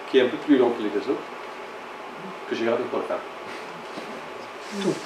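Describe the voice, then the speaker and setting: A man at a very slow pace with long, frequent pauses and big swings in loudness, amid audible room echo and noticeable background noise. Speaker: lecturer on theology. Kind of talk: lecture. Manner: halting, many hesitations.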